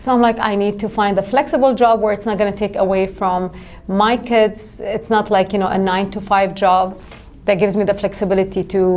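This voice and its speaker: A woman with an Arabic accent and a medium pitch speaks at a fairly quick pace with fairly even intonation over noticeable background noise. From Jerusalem, Middle East. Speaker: life insurance agent. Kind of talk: podcast interview.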